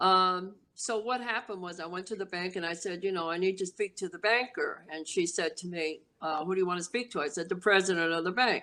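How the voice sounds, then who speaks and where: With a New York accent, a woman talks at a fairly quick pace in a bright, sharp tone of medium pitch and fairly even intonation, heard in a very clean recording over a silent background. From New York City, South Bronx. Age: 60s. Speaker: former mafia associate. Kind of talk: interview storytelling. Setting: podcast interview. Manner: casual, streetwise.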